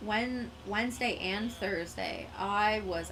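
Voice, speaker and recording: A woman's voice with a Canadian accent and audible room echo. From Quebec, Canada. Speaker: gaming streamer. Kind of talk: casual live-stream chat.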